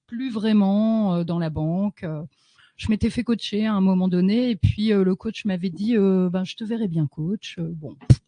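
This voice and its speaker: A woman with a dark, mellow tone and a somewhat breathy voice speaks at a fairly slow pace. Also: dry, close sound with no echo. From northern France, Lille. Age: 40s. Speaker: love coach. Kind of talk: radio interview.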